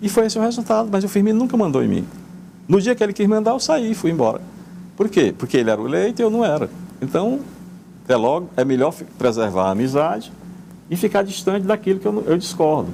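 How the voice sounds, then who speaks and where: A man's high voice moves through very wide pitch swings as he speaks very fast, broken by long, frequent pauses. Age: 70s. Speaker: politician, former mayor. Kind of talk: radio interview. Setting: studio. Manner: halting, with repetitions.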